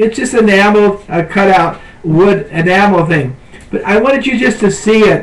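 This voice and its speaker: Noticeable background noise sits behind a man with a high voice. He speaks at a moderate pace with ordinary pitch variation. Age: 70s. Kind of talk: devotional talk. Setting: webcam at home. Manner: halting.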